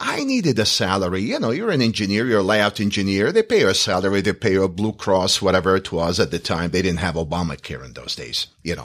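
Recorded very cleanly against a silent background, a man with an Iraqi accent speaks at a fairly quick pace. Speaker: real estate school owner and instructor. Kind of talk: interview.

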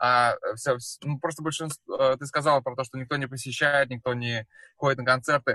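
In a dry, close sound with no echo, a man speaks at a moderate pace and medium pitch, his bright, sharp tone flat and monotone. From Russia, Samara. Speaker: musician. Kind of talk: casual chat.

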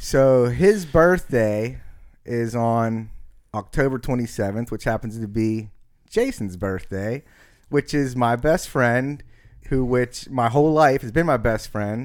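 A plain, everyday voice from a man comes at a medium pitch and fairly slow pace, with ordinary pitch variation. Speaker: guest starting a podcast. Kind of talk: casual chat. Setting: studio.

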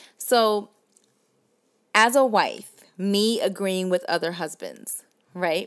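On a very clean recording with a silent background, a woman with a Southern US accent speaks at medium pitch and a very slow pace, with ordinary pitch variation and long, frequent pauses. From US South. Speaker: podcast host. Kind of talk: casual chat.

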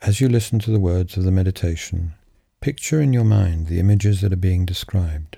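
A man's very deep, low, somewhat breathy voice with a gentle, dark, mellow tone, ordinary pitch variation, very even loudness and a fairly quick pace. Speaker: meditation guide. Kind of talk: guided meditation. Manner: gentle, measured and reassuring.

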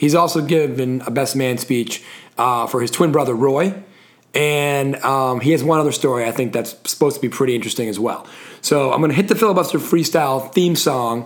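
This man has a plain, everyday voice, fairly high in pitch. He moves at a fairly quick pace with ordinary pitch variation. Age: 40s. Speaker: podcast host. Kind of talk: casual chat.

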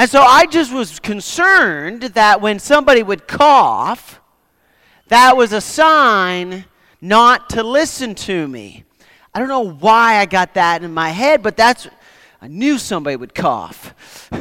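In a raised, projected voice, a man speaks fairly slowly at high pitch with very wide pitch swings and a bright, sharp tone. The recording is very clean, with a silent background. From Nova Scotia, Canada. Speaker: guest preacher. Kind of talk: sermon. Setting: church.

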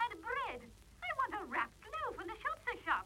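A woman uses a squeaky, put-on character voice with an extremely high pitch and lively intonation. She keeps a moderate pace over clear background noise. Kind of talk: 1950s radio drama. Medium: old radio play. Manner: plaintive, fretful.

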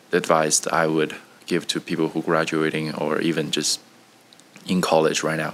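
Noticeable background noise surrounds a man speaking at a very deep, low pitch. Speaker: engineer, recent graduate. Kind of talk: casual interview. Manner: halting, with fillers.

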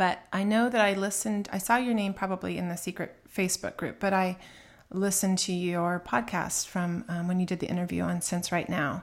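A woman's plain, everyday voice at medium pitch, fairly quick in pace, with fairly even intonation. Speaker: podcast co-host. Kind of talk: casual chat. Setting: home recording, remote.

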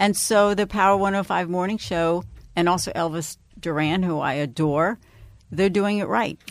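A woman with an unremarkable speaking voice talks at a moderate pace, her pitch medium and its variation ordinary. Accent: American. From New York, Long Island. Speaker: radio personality. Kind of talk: interview.

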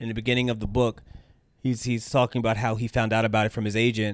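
In a very clean recording with a silent background, a man with an American accent speaks at a very fast pace and medium pitch in a monotone, flat intonation. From United States. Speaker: podcast host. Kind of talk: casual solo monologue. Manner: casual, hesitant with fillers.

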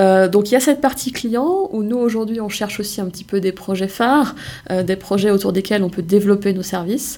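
In a plain, everyday voice, a woman talks at a fairly quick pace with medium pitch and ordinary pitch variation. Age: 20s. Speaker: startup co-founder. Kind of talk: interview.

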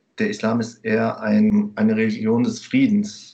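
A man at a fairly slow pace. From Germany. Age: 30s. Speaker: teacher. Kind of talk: interview. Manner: hesitant, many fillers.

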